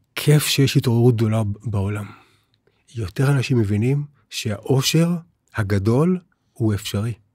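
The voice is somewhat breathy, with ordinary pitch variation and a fairly slow pace. The sound is dry with no echo, over a quiet background. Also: man. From Israel. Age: 60s. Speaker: spiritual teacher. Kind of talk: interview. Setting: studio. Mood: calm, warm, persuasive. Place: studio. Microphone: studio mic.

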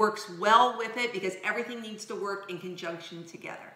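Fairly quick speech from a woman, room echo clearly audible. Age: 40s. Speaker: skincare vlogger. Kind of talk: product review. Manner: animated. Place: kitchen. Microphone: camera far.

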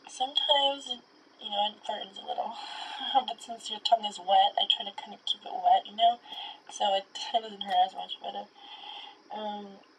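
A woman at a moderate pace, with long, frequent pauses, big swings in loudness and light background noise. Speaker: content creator. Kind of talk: casual vlog chat. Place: home room.

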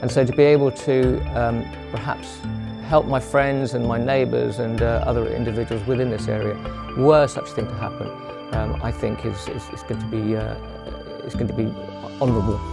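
Against clear music in the background, a man talks at a fairly quick pace broken by long, frequent pauses. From England, Wiltshire. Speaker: retiree and community reserve volunteer. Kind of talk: interview answer. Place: home room.

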